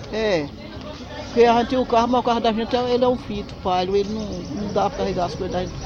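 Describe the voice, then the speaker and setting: Over crowd noise in the background and audible room echo, a woman talks at a very fast pace, fairly high in pitch, with ordinary pitch variation. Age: 70s. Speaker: farmer. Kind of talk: interview.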